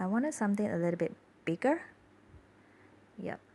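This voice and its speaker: Soft-spoken speech from a woman. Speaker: journaling hobbyist. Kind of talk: casual voiceover narration.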